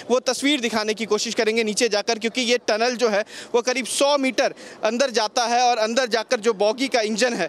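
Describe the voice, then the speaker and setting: The man's pitch is extremely high, and his intonation is monotone and flat. His voice has a dry sound with no echo. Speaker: TV field reporter. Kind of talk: news field report. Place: street. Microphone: handheld.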